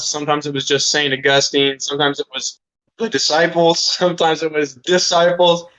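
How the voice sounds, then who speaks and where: Speaking at a fairly quick pace, a man uses a normal speaking voice with fairly high pitch and fairly even intonation. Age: 20s. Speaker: musician. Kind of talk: interview. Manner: casual, filler-heavy.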